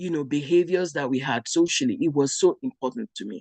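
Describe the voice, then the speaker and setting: In a quiet background, a woman with a fairly low pitch speaks at a fairly quick pace with lively intonation. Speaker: parenting summit speaker. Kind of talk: talk to parents.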